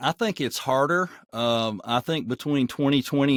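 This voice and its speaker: A man speaks with a Southern accent and ordinary pitch variation. The sound is dry and close with no echo, on a very clean recording with a silent background. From US South, Nashville. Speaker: voice actor. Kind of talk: interview.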